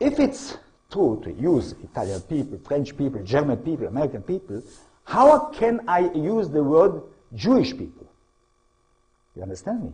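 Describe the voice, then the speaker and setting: In an Israeli accent, a man with a fairly high, dark and mellow voice and vocal fry speaks at a moderate pace, with very wide pitch swings, big swings in loudness, and long, frequent pauses. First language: Hebrew. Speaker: historian and author. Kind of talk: lecture. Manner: halting, non-native phrasing.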